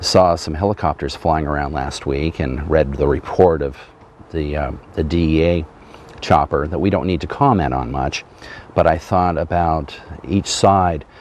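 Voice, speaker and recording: A man with an American accent and a very deep, low pitch, ordinary pitch variation, moderate pace, and noticeable background noise. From Martha's Vineyard, Massachusetts. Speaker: interview show host. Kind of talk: interview.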